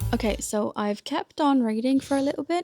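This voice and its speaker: Lively intonation in a Norwegian accent at a moderate pace, with a dry, close sound and no echo. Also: woman. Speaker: book vlogger. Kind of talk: casual reading vlog. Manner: animated.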